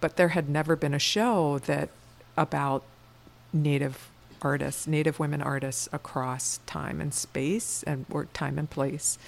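A woman speaks in an American accent at a fairly slow pace. Her very deep, low voice carries vocal fry. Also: ordinary pitch variation. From US East Coast, rural Pennsylvania. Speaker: museum curator. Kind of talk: interview, casual chat. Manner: hesitant, many fillers.

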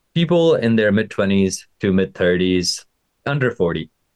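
A man talks in an ordinary speaking voice, pitched fairly low. His intonation is lively. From Pakistan (village), moved to US at 13. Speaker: fitness and life coach, podcast host. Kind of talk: casual podcast pitch monologue.

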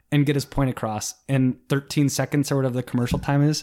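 A man with an American accent speaks at a fairly high pitch on a very clean recording with a silent background. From South Dakota (Sioux Falls), later Michigan. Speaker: podcast guest. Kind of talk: casual chat.

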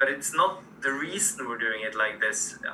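A man talks in a Norwegian accent. Noticeable background noise is present. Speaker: sports administrator. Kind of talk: interview.

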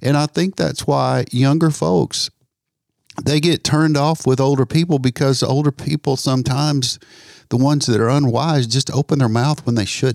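A man's normal speaking voice at a fairly high pitch with ordinary pitch variation and very even loudness, at a moderate pace, in a dry, close sound with no echo on a very clean recording over a silent background. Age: 60s. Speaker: pastor, ministry founder. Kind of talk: casual chat.

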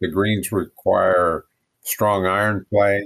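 An American accent with monotone, flat intonation. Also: man. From Oregon, US Pacific Northwest. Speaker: golf pro and teacher. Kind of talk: interview.

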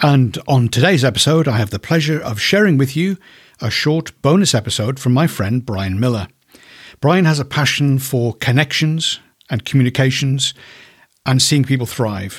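The somewhat breathy voice moves at a moderate pace with lively intonation, in a very clean recording with a silent background. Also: man, medium pitch for a man. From Ireland. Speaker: podcast host. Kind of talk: interview.

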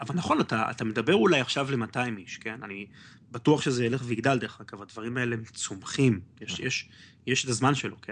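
A man with an unremarkable speaking voice talks at a fairly quick pace in a medium pitch. His pitch variation is ordinary, while his loudness swings widely. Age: 30s. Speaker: history podcaster and electronics engineer. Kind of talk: casual interview chat.

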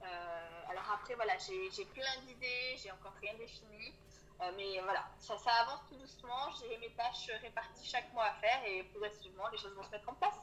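In a plain, everyday voice, a woman speaks at a moderate pace and fairly high pitch, with ordinary pitch variation and big swings in loudness. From Auvergne, France. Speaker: coach for early childhood professionals. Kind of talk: interview. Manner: soft-spoken.

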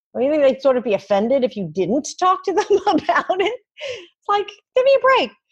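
A woman speaks with an extremely high pitch at a moderate pace. Her pitch swings very widely. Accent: American. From New York City. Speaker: podcast host and communications leader. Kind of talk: interview conversation.

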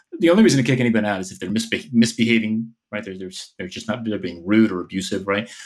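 A man's fairly low voice with an American accent, very fast, with ordinary pitch variation. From New Jersey, outside New York City. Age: 40s. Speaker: author and organizational consultant. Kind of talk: interview.

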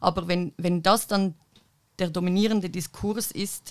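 On a very clean recording with a silent background, a woman talks at a fairly slow pace. Her pitch is medium and her intonation fairly even. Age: 20s. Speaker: activist and political science student. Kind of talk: panel discussion. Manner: hesitant with many fillers.

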